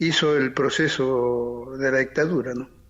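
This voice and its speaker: The intonation of this man stays fairly even. He speaks at a very slow pace. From Argentina (Chilecito, La Rioja; born in Paraguay). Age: 70s. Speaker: torture survivor, former political prisoner. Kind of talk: testimony. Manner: halting.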